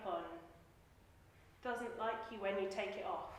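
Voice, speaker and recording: The woman's voice is loud, with noticeable background noise and audible room echo. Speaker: life coach and speaker. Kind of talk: personal storytelling talk.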